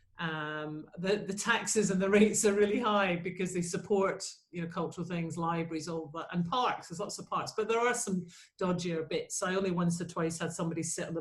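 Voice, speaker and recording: Room echo is audible as a woman talks fairly quickly in a Scottish accent. Her medium-pitched voice is somewhat breathy, with ordinary pitch variation. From Scotland, Glasgow. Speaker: choir leader and school teacher. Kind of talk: interview. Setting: video call.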